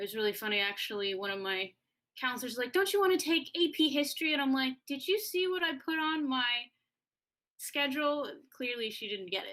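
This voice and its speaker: In an American accent, a woman projects a raised voice with a high pitch and a bright, sharp tone. She moves at a fairly quick pace, and her pitch swings very widely. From US West Coast, Oregon. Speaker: choir director. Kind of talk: interview.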